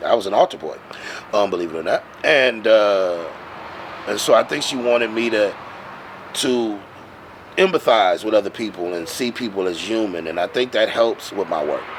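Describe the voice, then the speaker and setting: Fairly low-pitched male speech with an American accent, a moderate pace, ordinary pitch variation and long, frequent pauses, over noticeable background noise. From Milwaukee, Wisconsin. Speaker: poet and slam poetry performer. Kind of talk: interview answer. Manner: bold, full of conviction.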